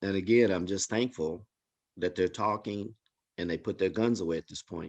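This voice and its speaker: Recorded with a dry, close sound with no echo, a man speaks in a plain, everyday voice at a fairly low pitch and a moderate pace. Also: fairly even intonation. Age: 60s. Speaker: community member sharing personal story. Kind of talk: testimony.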